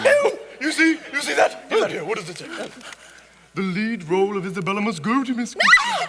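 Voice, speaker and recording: A man's put-on character voice, raised and projected, high in pitch, fairly quick, with long, frequent pauses. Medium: stage play. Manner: theatrical, emphatic.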